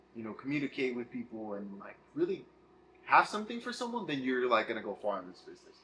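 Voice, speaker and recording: A man at a very fast pace, with big swings in loudness and noticeable background noise. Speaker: wrestling promotion interviewer. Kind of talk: casual interview. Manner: halting.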